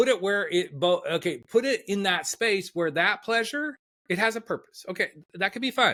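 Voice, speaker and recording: With a high pitch and a bright, sharp tone, a man raises and projects his voice at a moderate pace with lively intonation. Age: 60s. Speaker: life coach. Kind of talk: podcast interview.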